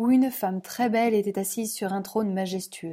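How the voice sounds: This is a natural reading voice. It is read aloud.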